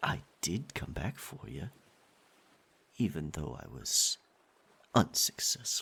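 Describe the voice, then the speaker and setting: A man whispers in a put-on character voice. He goes at a fairly slow pace with long, frequent pauses. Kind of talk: ASMR roleplay. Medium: audio drama. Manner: possessive, swinging between tender and menacing.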